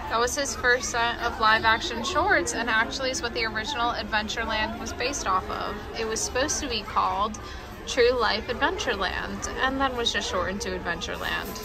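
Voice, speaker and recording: Clear music in the background behind a woman at a moderate pace. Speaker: vlogger. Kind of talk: casual vlog chat. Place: cafe. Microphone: phone near.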